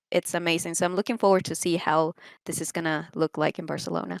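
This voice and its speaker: The recording of a woman with a Spanish accent is very clean, with a silent background and a dry, close sound that has no echo. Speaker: esports commentator. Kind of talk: casual chat.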